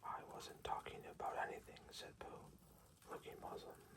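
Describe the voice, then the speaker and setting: The speaker whispers at a fairly slow pace. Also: man. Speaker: ASMR bedtime story reader. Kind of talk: sleep story. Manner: whispered, soft-spoken.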